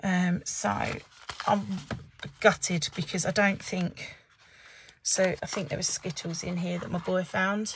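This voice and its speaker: A woman at a fairly slow pace, somewhat breathy, with fairly even intonation, long, frequent pauses and light background noise. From England. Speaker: papercraft demonstrator. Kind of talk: live craft tutorial. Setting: Facebook live stream at desk. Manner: casual chatty. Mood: chatty, lightly amused. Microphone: phone near.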